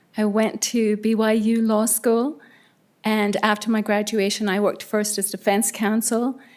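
Delivered with a slight Irish accent, the voice holds a monotone, flat intonation and very even loudness. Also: woman, fairly high pitch for a woman, moderate pace. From Ireland. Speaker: judge appointee, former prosecutor. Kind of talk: self-introduction at council meeting.

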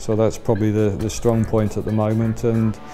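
A man talks at a fairly low pitch. Faint music plays in the background. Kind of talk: interview answer. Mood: calm, positive. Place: garage.

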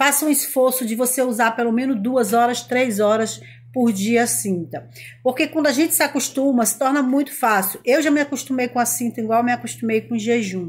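Animated in tone, a woman speaks at a fairly quick pace. Her pitch is high, with ordinary pitch variation. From Brazil. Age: 40s. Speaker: lifestyle vlogger. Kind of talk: casual vlog monologue. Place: home room. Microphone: phone near.

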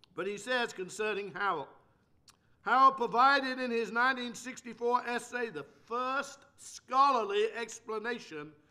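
A man's raised, projected voice, extremely high-pitched with a bright, sharp tone, over a quiet background. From England. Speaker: preacher. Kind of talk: lecture. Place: church. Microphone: podium.

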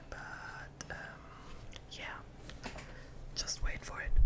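Someone whispers. The pace is fairly slow. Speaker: ASMR creator. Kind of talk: ASMR gaming whisper commentary. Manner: whispered.

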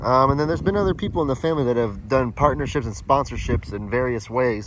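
A man speaks with ordinary pitch variation over light background noise, the sound dry with no echo. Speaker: vlogger. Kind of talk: casual vlog chat. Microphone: phone near.

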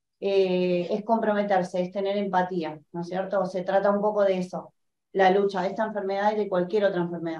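In a dark, mellow tone at medium pitch, a woman talks at a fairly quick pace with monotone, flat intonation, and room echo can be heard. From Argentina. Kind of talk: panel discussion. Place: meeting room. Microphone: camera far.

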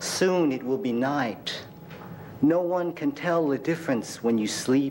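Over light background noise, a man talks at a very slow pace with ordinary pitch variation. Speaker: poet. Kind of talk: poet reading own poems aloud at a live reading. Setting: stage with audience at a university reading. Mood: expressive, emotional delivery. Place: classroom. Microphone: podium.

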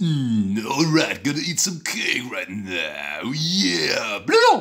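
At a very slow pace, a man puts on a character voice with a fairly high pitch. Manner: cartoonish.

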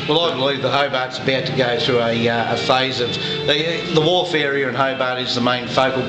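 A man talks fairly quickly while clear music plays behind him. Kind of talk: interview answer. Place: bar. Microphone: phone near.

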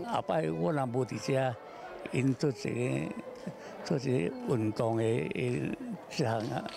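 Over noticeable background noise, a man with a medium pitch speaks at a very slow pace with lively intonation, very even loudness, long, frequent pauses and a dry sound with no echo. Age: 80s+. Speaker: qigong teacher. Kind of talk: interview answer. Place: hall. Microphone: handheld.

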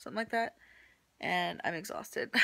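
With a medium pitch and ordinary pitch variation, a woman is talking. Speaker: vlogger. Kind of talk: casual vlog. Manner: hesitant, filler-heavy. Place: home room. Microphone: phone near.

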